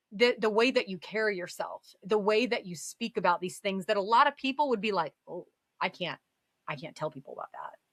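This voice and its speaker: A woman speaks fairly quickly in an animated tone with a fairly high pitch and lively intonation. Her loudness swings widely, and the sound is dry and close with no echo. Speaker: podcast guest. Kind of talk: casual chat. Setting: live stream.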